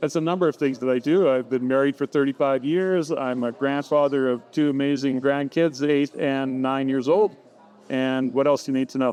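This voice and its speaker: A man talks at a moderate pace in a plain, everyday voice. His pitch is fairly high and his intonation fairly even. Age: 60s. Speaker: entrepreneur and coach. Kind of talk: interview.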